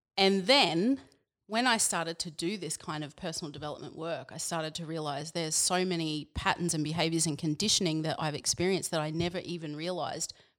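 In a very clean recording with a silent background, a woman with an Australian accent talks at a fairly quick pace, her fairly low pitch varying in an ordinary way. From Queensland, Australia. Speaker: personal coach. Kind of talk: casual chat.

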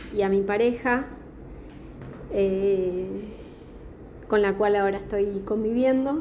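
At a very slow pace, a woman speaks with fairly high pitch and fairly even intonation. There is noticeable background noise and audible room echo. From southern Patagonia, Argentina (Chubut). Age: 20s. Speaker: podcast contributor sending a voice message. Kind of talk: recorded voice testimony.

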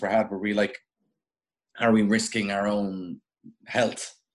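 This man has a medium pitch and speaks with an Irish accent. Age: young. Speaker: radio broadcaster and journalist. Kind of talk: casual chat.

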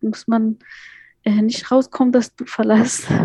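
A woman's dark, mellow, somewhat breathy voice with an Afghan accent, monotone and flat at a moderate pace, in a dry, close recording with no echo. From Afghanistan, Kabul. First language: Dari (speaking German). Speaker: migrant advocate and educator. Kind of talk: interview.

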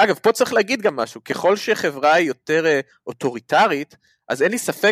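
A man's voice swings very widely in pitch, with a dry, close sound with no echo. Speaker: podcast co-host, academic. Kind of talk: casual chat.

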